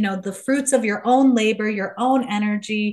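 Against a quiet background, a woman with an American accent talks at a moderate pace in a plain, everyday voice. Her pitch is fairly high and her intonation fairly even. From US Midwest. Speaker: kombucha educator and business founder. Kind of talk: interview conversation.

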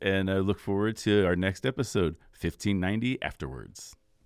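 This man talks at a moderate tempo, his pitch varying in an ordinary way. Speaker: radio host. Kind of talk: casual chat. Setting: studio.

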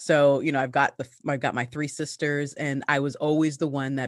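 In a Canadian accent and against a quiet background, a woman with a very deep, low pitch speaks at a fairly quick pace. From Canada. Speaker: entrepreneur. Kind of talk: interview. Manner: animated.

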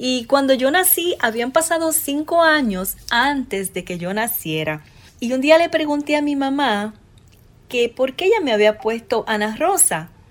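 A woman at a high pitch and a fairly slow pace, with very wide pitch swings. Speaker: podcast host. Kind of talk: personal storytelling.

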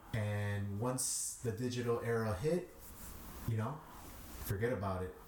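A man with an American accent speaks with ordinary pitch variation, recorded with audible room echo and noticeable background noise. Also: medium pitch for a man, moderate pace. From Chicago, Little Village. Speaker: DJ. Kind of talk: interview.

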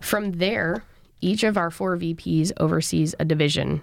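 The recording is very clean, with a silent background. A woman speaks in a normal speaking voice, fairly low in pitch, with lively intonation. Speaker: student organization president. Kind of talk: casual interview.

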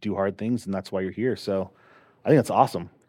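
The tone is dark and mellow, with fairly even intonation. The background is quiet. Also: man. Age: 40s. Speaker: podcast host. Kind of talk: casual chat.

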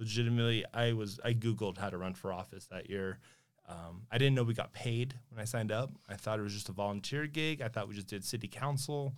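A man speaks with an American accent at a medium pitch. It is an ordinary speaking voice with ordinary pitch variation. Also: fairly quick pace, very clean recording, silent background. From Sparks, Nevada. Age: 30s. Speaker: city councilman. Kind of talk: casual interview.

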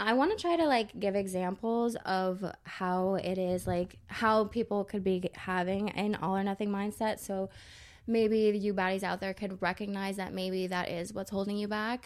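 In a very clean recording with a silent background, a woman with an unremarkable speaking voice talks at a moderate pace, medium pitch and fairly even intonation. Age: 20s. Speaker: podcast co-host, fitness coach. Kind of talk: casual chat.

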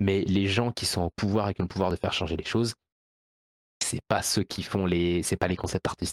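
A man with a very deep, low voice talks at a moderate pace on a very clean recording with a silent background. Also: dry, close sound with no echo. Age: 20s. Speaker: video game producer and programmer. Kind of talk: casual chat. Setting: live stream.

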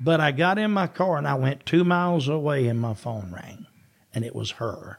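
On a very clean recording with a silent background, a man speaks in a Southern US accent at a moderate pace. His pitch swings very widely. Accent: Southern US (Georgia). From US South, Georgia. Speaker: retired founding pastor. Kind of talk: casual interview, personal testimony.

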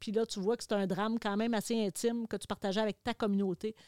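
A woman with a Quebec accent speaks at a fairly high pitch with fairly even intonation, recorded very cleanly with a silent background and a dry, close sound with no echo. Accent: Québécois French. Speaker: television host. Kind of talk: casual chat.

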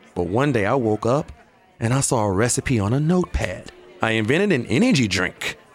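A man's voice at a moderate pace with very wide pitch swings, against noticeable background noise. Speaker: bartender character. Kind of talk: scripted comedic dialogue.

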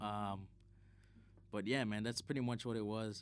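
A voice with a Chicago accent in a very clean recording with a silent background. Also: man. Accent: Chicago American English. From Chicago, US Midwest (South Side). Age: 20s. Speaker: DJ and event manager. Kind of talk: casual chat.

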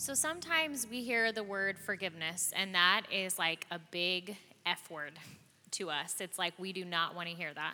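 Bright and sharp in tone, a woman speaks at a moderate pace with lively intonation. Her pitch sits in the medium range. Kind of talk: testimony.

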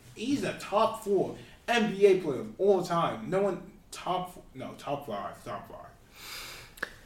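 With noticeable background noise behind him, a man speaks very slowly in a high pitch with lively intonation. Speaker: sports podcast co-host. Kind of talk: casual chat about sports, school radio; heated argument about basketball. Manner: loud, animated, boastful.

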